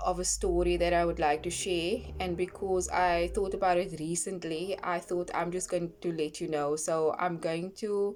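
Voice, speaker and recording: At a moderate pace and with hardly any pauses, a woman speaks in a fairly low, flat monotone. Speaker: online scripture reader and brand owner. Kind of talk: casual vlog talk. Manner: halting with pauses and fillers.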